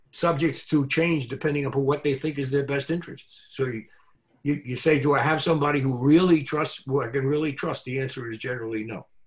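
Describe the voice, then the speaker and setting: The speech comes at a very fast pace with fairly even intonation. The voice is somewhat breathy. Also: man, fairly high pitch for a man. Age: 90s. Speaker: real estate lawyer and business coach. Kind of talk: interview. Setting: video call. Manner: halting.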